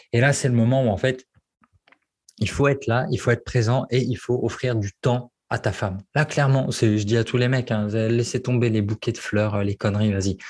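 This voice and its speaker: A man's medium-pitched, somewhat breathy voice at a moderate pace, with fairly even intonation and very even loudness. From French provinces. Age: 30s. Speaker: copywriter and former love coach. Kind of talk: casual interview.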